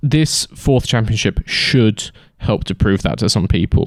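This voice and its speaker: A man at a medium pitch and moderate pace. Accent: British. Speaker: F1 commentary YouTuber. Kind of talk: casual solo podcast monologue. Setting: sitting in a camping chair on a staircase. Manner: casual with frequent fillers.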